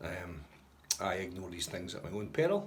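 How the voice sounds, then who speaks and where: Very deep and low, a man speaks with a Scottish accent. The room echo is audible. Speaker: motorcycle touring vlogger. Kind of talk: casual vlog. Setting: outdoors. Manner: soft-spoken.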